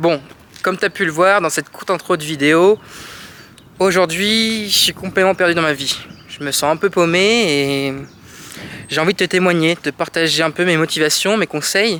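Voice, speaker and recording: A man with a high voice leaves long, frequent pauses. Noticeable background noise is present. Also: ordinary pitch variation, moderate pace. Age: 20s. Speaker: vlogger. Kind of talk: personal vlog monologue. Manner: hesitant, with fillers and repetitions.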